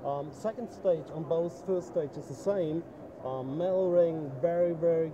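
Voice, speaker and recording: A man's fairly high-pitched voice at a moderate pace, fairly even in intonation, with noticeable background noise. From Germany. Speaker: dive equipment company owner. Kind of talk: trade show interview. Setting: trade show booth.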